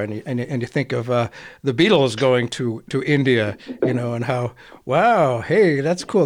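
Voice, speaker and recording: A man with an American accent and an unremarkable speaking voice, fairly quick pace, ordinary pitch variation. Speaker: radio host. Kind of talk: interview discussion.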